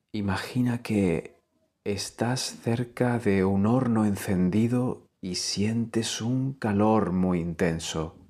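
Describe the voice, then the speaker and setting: At a very slow pace, the voice has a calm tone that is dark and mellow, with ordinary pitch variation. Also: man, fairly low pitch for a man. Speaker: yoga nidra teacher. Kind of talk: guided meditation. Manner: slow, calm.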